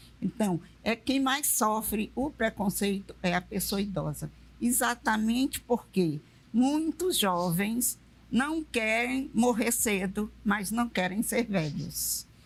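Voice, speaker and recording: Speaking at a very slow pace, a woman uses a fairly high pitch, lively intonation and vocal fry. Her loudness stays very even. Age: 70s. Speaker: retired railway worker. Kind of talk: panel discussion.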